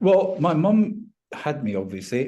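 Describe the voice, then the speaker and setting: A man with a Scottish accent speaks in a dark, mellow tone. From Scotland, Lanarkshire. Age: 70s. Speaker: retired finance professional. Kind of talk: interview.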